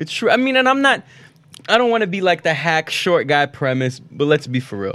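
A man's high-pitched, bright, sharp voice at a fairly quick pace, with very wide pitch swings. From Baku, Azerbaijan; raised in Florida. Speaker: comedian. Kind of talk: casual chat.

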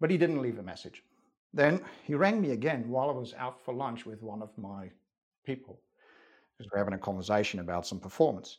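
This man has a Dutch accent and a medium pitch. His intonation is lively and his pace fairly quick. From Netherlands. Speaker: former army officer and legal learning consultant. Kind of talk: interview.

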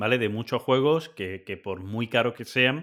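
Someone with a Spanish accent speaks at a moderate pace. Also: man. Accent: Peninsular Spanish. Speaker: board game podcast host. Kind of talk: casual chat. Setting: video call.

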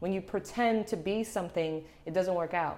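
Speaking with a Puerto Rican accent, a woman uses a fairly low pitch with ordinary pitch variation at a moderate pace. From Puerto Rico. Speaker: fashion model. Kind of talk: casual interview chat.

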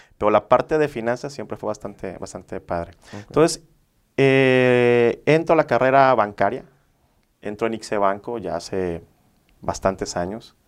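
On a very clean recording with a silent background, a normal speaking voice moves at a moderate pace with lively intonation and big swings in loudness. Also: man, medium pitch for a man. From Mexico, Villahermosa, Tabasco. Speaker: mortgage broker. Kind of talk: interview, explanatory.

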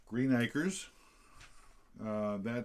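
A man with a Tennessee accent and fairly even intonation. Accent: Southern American (Tennessee). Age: 50s. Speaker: podcast co-host. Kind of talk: casual chat.

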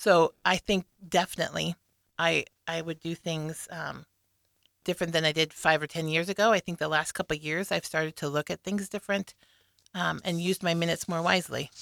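On a very clean recording with a silent background and a dry, close sound with no echo, a woman with an American accent talks at a fairly quick pace in a fairly low pitch with fairly even intonation. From Nebraska, US Midwest (Lincoln). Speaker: single parent, guest. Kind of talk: casual interview.

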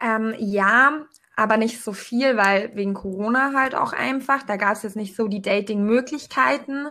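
Her pitch is fairly high, and this woman has a normal speaking voice. She talks at a fairly slow pace with ordinary pitch variation. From Allgäu, southern Germany. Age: 20s. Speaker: podcast guest. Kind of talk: casual chat.

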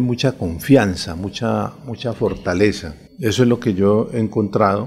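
Lively intonation marks this man's plain, everyday voice. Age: 50s. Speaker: retired army general and political candidate. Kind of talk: radio interview. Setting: radio studio.

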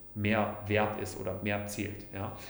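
A man with a fairly low pitch talks through noticeable background noise and audible room echo. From Allgäu, Bavaria. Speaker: publisher, former parliamentary adviser. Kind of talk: casual interview.

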